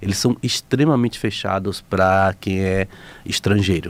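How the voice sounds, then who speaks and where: A man's speech shows ordinary pitch variation and moves at a moderate pace. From Bahia, Brazil. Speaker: photographer and explorer. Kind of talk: radio interview.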